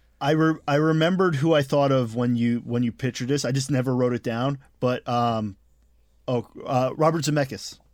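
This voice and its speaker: This man has a normal speaking voice, medium in pitch with ordinary pitch variation, at a moderate pace. The recording is very clean, against a silent background. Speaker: podcast host. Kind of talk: casual chat.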